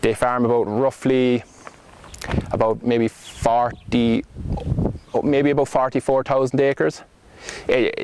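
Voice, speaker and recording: A man with a Cork accent, monotone, flat intonation, noticeable background noise. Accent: Cork Irish. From Ireland, County Cork. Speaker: farm intern. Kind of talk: interview. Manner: halting.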